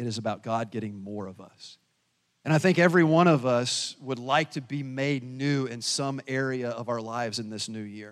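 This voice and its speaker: A plain, everyday voice from a man with an American accent, at a moderate pace with ordinary pitch variation. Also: medium pitch for a man, very clean recording, silent background. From US South. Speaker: pastor. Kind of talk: sermon.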